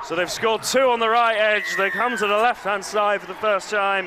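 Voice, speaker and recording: A man's high-pitched, raised and projected voice in an excited tone, at a moderate pace, over noticeable background noise. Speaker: rugby league match commentator. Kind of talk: sports commentary. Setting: stadium match commentary, over live play. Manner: excited, rising energy at tries.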